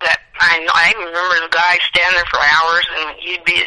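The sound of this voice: Her tone bright and sharp, a woman speaks at a fairly quick pace and a fairly low pitch with little pitch movement.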